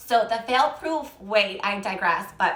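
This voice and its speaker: Audible room echo and noticeable background noise accompany a woman speaking at a fairly high pitch. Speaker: naturopathic health practitioner. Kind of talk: live-stream Q&A talk. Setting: Instagram live stream. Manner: fast.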